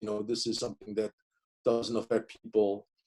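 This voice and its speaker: A man speaks with a Korean accent. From South Korea, moved to US at 15. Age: 50s. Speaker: professor. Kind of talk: interview. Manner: halting.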